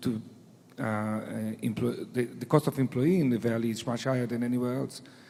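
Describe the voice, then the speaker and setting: A medium-pitched male voice with fairly even intonation. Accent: Israeli. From Israel. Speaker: venture capital investor. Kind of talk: panel discussion.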